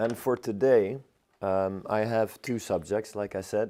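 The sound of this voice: A man speaks at a fairly slow pace, his fairly low voice dark and mellow in tone. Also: fairly even intonation.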